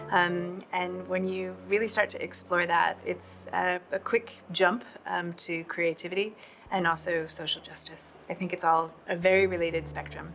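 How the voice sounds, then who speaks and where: A woman with an American accent talks at a moderate pace. Noticeable background noise is present. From New York, US. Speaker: co-founder and CEO of a cultural organization. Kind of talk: casual introduction chat.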